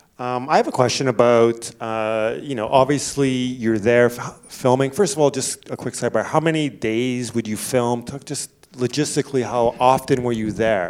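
An ordinary speaking voice from a man, medium in pitch, at a moderate pace with fairly even intonation and hardly any pauses. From Canada. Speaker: festival moderator. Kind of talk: moderated Q&A. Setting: stage with audience.

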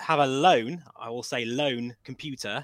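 The voice has a bright, sharp tone and ordinary pitch variation. The sound is dry and close with no echo, on a very clean recording with a silent background. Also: man. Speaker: VR flight sim enthusiast. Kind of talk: casual chat.

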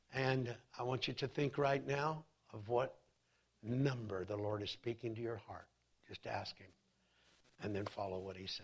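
A man's somewhat breathy voice shows big swings in loudness and ordinary pitch variation. He leaves long, frequent pauses. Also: medium pitch for a man, moderate pace. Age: 30s. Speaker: pastor. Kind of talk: sermon. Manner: animated.

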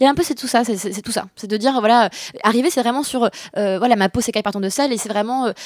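A woman with a fairly high voice speaks very fast, her pitch varying normally. The sound is dry and close with no echo, though background noise is noticeable. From France, grew up in Bordeaux. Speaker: street artist and poet. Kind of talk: casual interview. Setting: radio studio.

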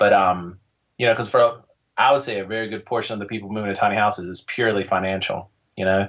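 A man's fairly low voice with an American accent, fairly even intonation, and a very fast pace. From North Carolina. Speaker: tiny house website owner, entrepreneur. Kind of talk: casual interview chat.

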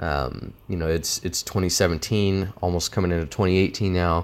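A man with an American accent speaks at a very deep, low pitch. His intonation stays fairly even. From US Southwest, small town. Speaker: podcast host. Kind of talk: solo podcast monologue. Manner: casual, filler-heavy unscripted talk.

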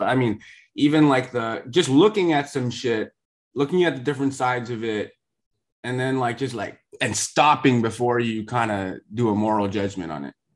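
Over a quiet background, a man with an unremarkable speaking voice talks at medium pitch with lively intonation. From US West Coast. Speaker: podcast host and author.

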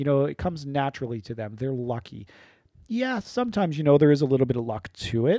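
The voice has a dark, mellow tone and an Ontario accent. It moves at a very fast pace with lively intonation. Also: man, fairly high pitch for a man. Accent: Canadian (Ontario). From southwestern Ontario, Canada. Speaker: podcast host, recreation program lead. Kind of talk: casual unscripted podcast talk. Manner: off the cuff, with fillers and repetitions.

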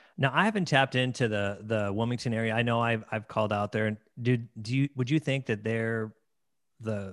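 A man talks in a normal speaking voice at medium pitch and a fairly quick pace with fairly even intonation, on a very clean, dry, close recording with a silent background and no echo. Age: 40s. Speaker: podcast host and wedding DJ. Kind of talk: casual interview.

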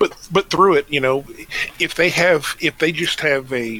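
Over noticeable background noise, a man with a fairly high pitch talks at a fairly slow pace. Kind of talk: casual podcast chat.

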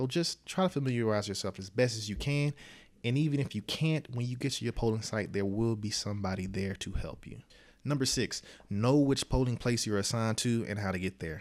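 This man has a plain, everyday voice, fairly low in pitch, and he talks at a fairly quick pace. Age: 20s. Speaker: podcast host and speaker. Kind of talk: motivational talk.

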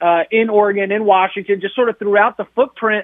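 This man talks in a high pitch for a man, with a monotone, flat intonation. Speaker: college sports reporter. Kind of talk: sports analysis interview by phone. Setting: phone call.

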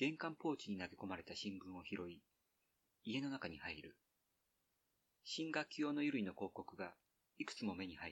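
The voice swings very widely in pitch. Long pauses come often. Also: man, fairly low pitch for a man. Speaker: podcast host reading an essay aloud. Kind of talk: literary essay reading, slow and evocative, read aloud from a printed text. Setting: outdoors, recorded at a highland ridge.

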